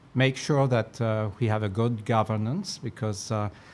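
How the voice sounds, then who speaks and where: A man's medium-pitched voice, with ordinary pitch variation, proceeds at a fairly slow pace amid noticeable background noise. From France. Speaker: accountancy body president. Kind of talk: interview. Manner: halting, many fillers.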